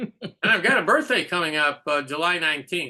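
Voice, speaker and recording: A man with a bright, sharp tone and a fairly high pitch. He talks at a fairly quick pace. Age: 60s. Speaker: Orthodox rabbi. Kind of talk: casual chat. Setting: video call.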